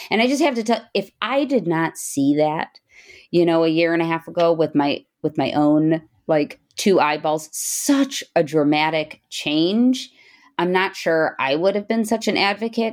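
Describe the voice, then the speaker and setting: On a very clean recording with a silent background, a woman with an unremarkable speaking voice talks at a fairly slow pace and fairly low pitch, her loudness very even. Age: 40s. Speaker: breast surgeon and podcast host. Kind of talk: interview.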